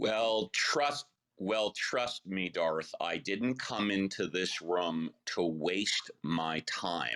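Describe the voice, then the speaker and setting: A man speaks very slowly in a fairly low, bright, sharp voice with lively intonation. His loudness stays very even throughout. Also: dry, close sound with no echo. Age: 60s. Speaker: debater. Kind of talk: heated debate.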